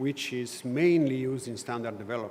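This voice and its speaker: Against noticeable background noise and audible room echo, a man speaks at a fairly high pitch. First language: not English. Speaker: conference speaker on consumer standards. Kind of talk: conference presentation. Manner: hesitant with fillers.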